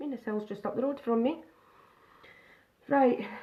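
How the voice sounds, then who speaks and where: This woman has a Scottish accent. Her voice sits at a fairly high pitch. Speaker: makeup vlogger. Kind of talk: live makeup tutorial. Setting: live stream. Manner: casual, chatty.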